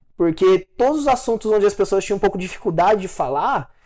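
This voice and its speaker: On a very clean recording with a silent background, a man with a high pitch and ordinary pitch variation speaks at a very fast pace. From Brazil, interior of Minas Gerais. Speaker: financial planner, podcast co-host. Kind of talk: casual chat.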